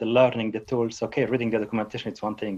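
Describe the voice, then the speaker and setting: A man speaks at a very fast pace and medium pitch. The background is quiet. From Switzerland. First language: not English. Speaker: database technology speaker. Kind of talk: interview. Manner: halting.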